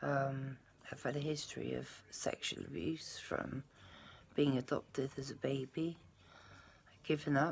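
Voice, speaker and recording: Long, frequent pauses break up a woman's fairly slow speech. Her pitch is very deep and low, with vocal fry and fairly even intonation. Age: 50s. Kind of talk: casual talk to camera.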